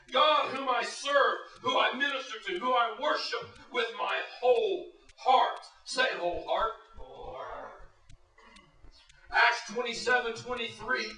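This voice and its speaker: Using a raised, projected voice, a man speaks at an extremely high pitch at a fairly slow pace with long, frequent pauses. Audible room echo surrounds him. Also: ordinary pitch variation. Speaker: pastor. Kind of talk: sermon.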